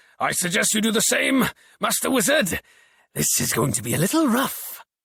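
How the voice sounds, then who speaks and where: A man shouts loudly in a put-on character voice, pitched high. He keeps a moderate pace. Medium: read story. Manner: loud, shouting over the storm.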